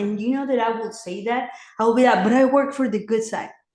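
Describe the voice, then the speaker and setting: A woman with a Mexican accent speaks with ordinary pitch variation in a room with audible echo. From Mexico City, Mexico. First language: Spanish. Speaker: former clinic director turned pro-life advocate. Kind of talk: interview testimony.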